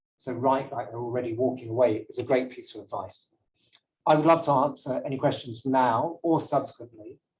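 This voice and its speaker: This man has a medium pitch and a somewhat breathy voice, moving at a fairly quick pace. His intonation stays fairly even while his loudness swings widely. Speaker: brand language consultant. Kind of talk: lecture. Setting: seminar room with live audience. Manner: fast.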